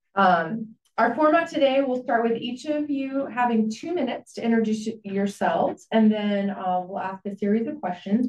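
A woman at a moderate pace, with audible room echo. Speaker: forum moderator. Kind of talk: moderator announcements. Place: meeting room.

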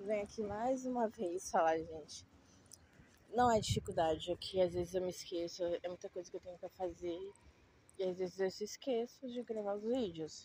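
A woman with a dark, mellow tone talks at a moderate pace, pausing long and often. Her pitch varies in an ordinary way, in a dry sound with no echo and light background noise. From Brazil. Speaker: vlogger. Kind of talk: casual walking vlog. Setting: outdoors. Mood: mildly complaining, conversational. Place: street. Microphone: phone near.

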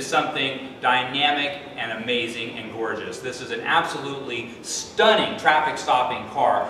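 Amid noticeable background noise and audible room echo, a man talks at a moderate pace. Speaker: car salesman. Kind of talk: product presentation. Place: shop. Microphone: camera far.

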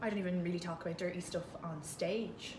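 Against noticeable background noise, a woman of medium pitch with an Irish accent speaks at a fairly quick pace. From Ireland, Kildare; Ireland. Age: 20s. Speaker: comedian; podcast co-host. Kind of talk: casual chat. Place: home room. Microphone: handheld.

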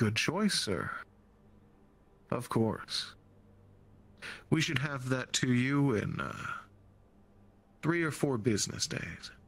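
At a very slow pace, a man speaks with a medium pitch and leaves long, frequent pauses. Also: very clean recording, silent background. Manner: cheery, coded customer service.

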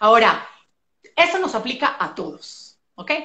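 Very wide pitch swings stand out in this voice, with audible room echo and a quiet background. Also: woman. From Colombia, Medellín. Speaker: physician and nutrition specialist; guest. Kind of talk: casual interview on a live stream. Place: home room. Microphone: video call.

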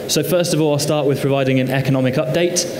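A man does the talking. Noticeable background noise can be heard with him. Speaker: presenter. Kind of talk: conference presentation. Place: stage.

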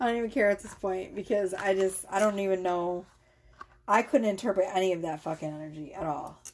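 A woman speaks at a fairly quick pace in an animated tone, with ordinary pitch variation. Light background noise sits behind her. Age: 40s. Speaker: tarot reader. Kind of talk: tarot reading monologue to camera. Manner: casual, rambling and animated. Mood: loose, joking, frustrated. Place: home room. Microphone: phone near.

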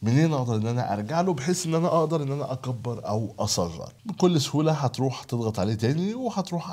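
A man talks at a fairly quick pace with an Egyptian accent, his pitch swinging very widely. His tone is dark, mellow and somewhat breathy. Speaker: video editing tutor. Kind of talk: tutorial. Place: home room.

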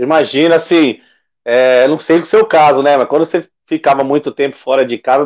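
The voice is monotone, with flat intonation. It moves at a moderate pace against a quiet background. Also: man. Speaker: sports web show host; show host. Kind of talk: casual interview. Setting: live stream. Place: home room. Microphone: video call.

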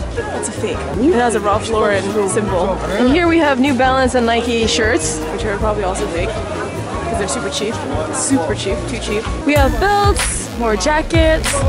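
Loud music fills the background as a woman speaks at a moderate pace. The sound is dry, with no echo. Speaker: travel vlogger. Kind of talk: casual vlog chat. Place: market. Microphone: phone near.

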